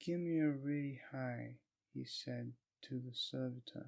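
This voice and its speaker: This man is soft-spoken. He talks at a very slow pace. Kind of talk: audiobook reading. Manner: slow, soft-spoken.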